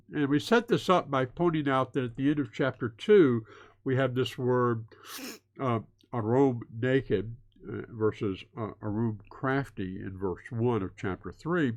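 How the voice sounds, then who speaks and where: Against a quiet background, a man speaks at a fairly slow pace. His medium pitch shows ordinary variation. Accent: Southern US. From US South. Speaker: Bible teacher. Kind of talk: lecture. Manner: hesitant with many fillers.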